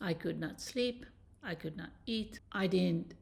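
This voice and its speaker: This woman's voice is fairly low and carries vocal fry. She speaks very slowly. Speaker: dating and relationship coach. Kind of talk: personal story to camera.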